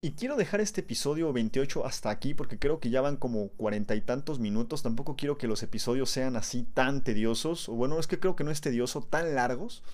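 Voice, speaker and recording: A man talks at a fairly quick pace with hardly any pauses, using lively intonation at a fairly high pitch. His is an ordinary speaking voice. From Mexico. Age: 20s. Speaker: science podcast host. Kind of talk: educational monologue. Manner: casual, conversational.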